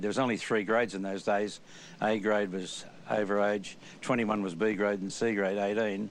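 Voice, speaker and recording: A man's fairly low voice, monotone and flat in intonation, with an Australian accent. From Australia, New South Wales. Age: 80s+. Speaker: former rugby league player. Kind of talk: interview reminiscence.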